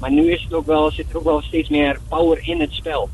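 Man with a Twente accent at a moderate pace, noticeable background noise behind him. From Netherlands, Enschede (Twente). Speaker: professional padel player. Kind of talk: phone interview. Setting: phone call.

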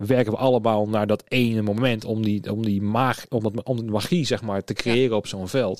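An unremarkable speaking voice from a man at a moderate pace, with fairly even intonation and a dry, close sound with no echo. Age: 30s. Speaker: podcast host, event technician. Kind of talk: casual interview chat. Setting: studio.

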